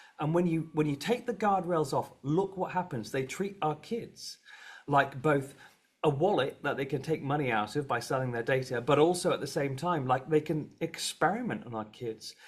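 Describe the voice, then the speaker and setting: A man with a British accent and a fairly high, somewhat breathy voice, at a moderate pace. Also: lively intonation. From Britain. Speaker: advocacy organization head. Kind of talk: panel discussion.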